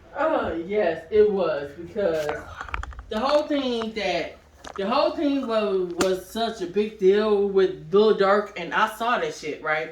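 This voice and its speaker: With audible room echo and noticeable background noise, a woman of medium pitch speaks at a very slow pace, her intonation lively. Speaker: podcast host and producer. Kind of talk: casual chat. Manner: loud.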